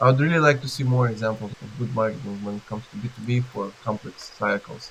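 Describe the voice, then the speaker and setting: Over noticeable background noise, a man with a non-native accent talks at a fairly quick pace. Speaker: B2B marketing expert. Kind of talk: interview. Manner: halting, with restarts.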